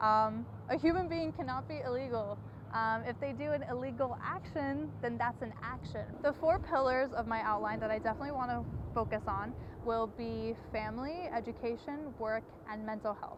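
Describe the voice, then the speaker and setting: Noticeable background noise behind a woman's moderately paced speech in an American accent. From came to the US from Croatia at age five. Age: 20s. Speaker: undocumented college student. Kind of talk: personal testimony.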